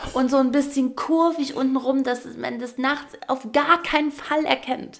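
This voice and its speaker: Over noticeable background noise, a woman speaks in an animated tone at a high pitch. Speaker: podcast host, former dance teacher. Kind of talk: casual chat.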